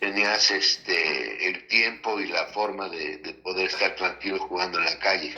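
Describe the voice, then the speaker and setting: Against noticeable background noise, a man talks at a fairly slow pace with hardly any pauses. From Mexico City. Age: 60s. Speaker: interviewee. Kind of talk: interview testimony.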